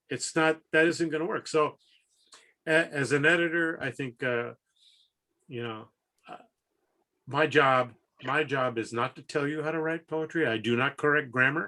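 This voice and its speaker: A man with a Midwestern accent, fairly high-pitched and bright, sharp in tone, ordinary in pitch variation, with long, frequent pauses. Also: moderate pace. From US Midwest. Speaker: haiku editor and poet. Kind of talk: interview. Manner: energetic.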